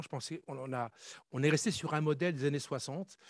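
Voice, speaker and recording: Very fast speech with ordinary pitch variation comes through a very clean recording with a silent background and a dry, close sound with no echo. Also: man. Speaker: conference panelist, former army officer. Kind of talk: conference talk.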